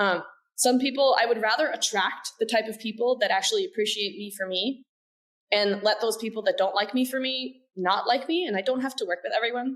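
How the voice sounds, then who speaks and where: Her intonation is lively. The woman moves at a fairly quick pace. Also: fairly high pitch for a woman. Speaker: business development director in automation industry. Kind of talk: podcast interview.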